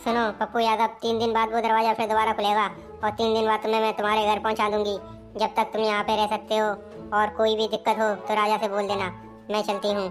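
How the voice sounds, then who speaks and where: A woman's cartoonish character voice at a fairly high pitch, very fast and monotone with flat intonation, over clear music in the background. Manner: calm, measured.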